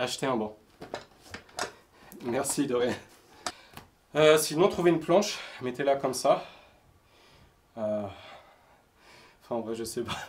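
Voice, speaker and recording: A man speaks at a medium pitch and a fairly slow pace, with long, frequent pauses and lively intonation. Noticeable background noise runs underneath. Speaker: fitness youtuber. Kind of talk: workout tutorial. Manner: counting reps aloud, panting.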